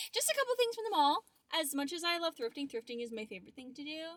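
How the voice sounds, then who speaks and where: A woman's high-pitched voice with very wide pitch swings, in a dry, close sound with no echo. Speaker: lifestyle vlogger. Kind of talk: casual vlog chat. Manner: whispering at the end.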